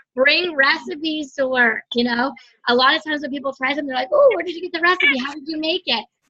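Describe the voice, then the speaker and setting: A woman's high-pitched, raised and projected voice with a bright, sharp tone, ordinary pitch variation and a very fast pace. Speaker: direct sales team leader. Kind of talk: team training call.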